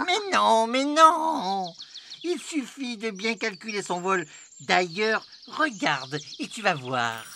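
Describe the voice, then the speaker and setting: Using a put-on character voice with a fairly high pitch and very wide pitch swings, the speaker goes at a very slow pace over clear background noise. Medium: read story. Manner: boastful, eager.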